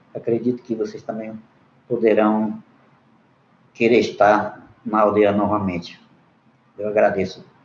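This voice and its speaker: With long, frequent pauses, a man speaks fairly slowly in a fairly low, monotone and flat voice. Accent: non-native. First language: Munduruku (speaking Portuguese). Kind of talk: panel debate remarks. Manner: halting, with hesitations.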